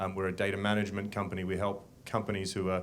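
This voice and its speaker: Fairly low-pitched male speech in an Australian accent, with music in the background. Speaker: business executive, panelist. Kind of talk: panel discussion.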